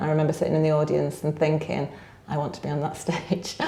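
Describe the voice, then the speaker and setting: Very fast and very deep, a woman's dark, mellow voice with vocal fry rings with audible room echo. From northern England, Blackpool. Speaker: business network director. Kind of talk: podcast interview.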